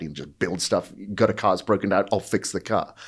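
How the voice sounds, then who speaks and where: On a very clean recording with a silent background, someone talks at a moderate pace. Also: man. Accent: Welsh. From Wales. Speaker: fitness entrepreneur and bodybuilder. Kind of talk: podcast interview.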